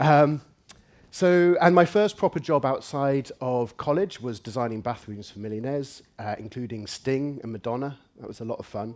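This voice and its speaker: A man with an English accent talks at a moderate pace, his pitch medium and his intonation lively. The loudness swings widely, and the recording is very clean with a silent background. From England. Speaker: UX researcher and conference speaker. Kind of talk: conference talk.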